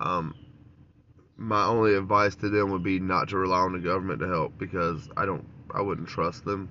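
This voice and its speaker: At a moderate pace, a man with a very deep, low pitch keeps his intonation fairly even. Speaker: podcast host. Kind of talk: political commentary monologue. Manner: frequent filler words (um, uh).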